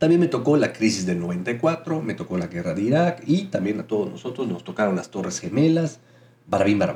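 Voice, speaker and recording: At a moderate pace, a somewhat breathy man of medium pitch speaks with very wide pitch swings. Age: 30s. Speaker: spiritual podcast host. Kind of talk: spiritual monologue.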